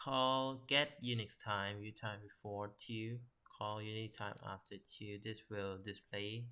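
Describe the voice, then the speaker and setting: A man with a non-native accent speaks very slowly, his fairly low pitch carrying a bright, sharp tone. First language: not English. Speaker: software developer. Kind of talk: tutorial. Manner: halting.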